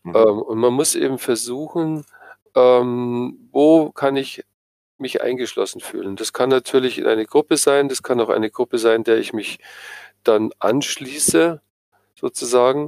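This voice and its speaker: Recorded with a dry, close sound and no echo, a man with an ordinary speaking voice talks at a fairly slow pace, at medium pitch with ordinary pitch variation. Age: 60s. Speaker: psychotherapist. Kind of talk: interview.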